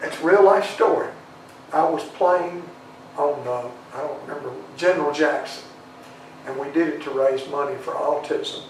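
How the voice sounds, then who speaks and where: A man with a Southern US accent at a moderate pace, fairly even intonation, audible room echo and noticeable background noise. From Tennessee, schooled in Alabama. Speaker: singer-songwriter. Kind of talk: interview. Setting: studio. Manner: halting, repeats words.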